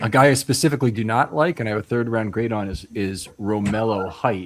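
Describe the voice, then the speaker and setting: Speaking very fast, a man uses a fairly low pitch with ordinary pitch variation. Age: 60s. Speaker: football draft analyst show host. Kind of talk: live draft panel discussion.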